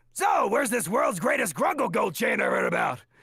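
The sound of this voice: A man shouts in a put-on character voice. His pace is fairly quick. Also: extremely high pitch for a man.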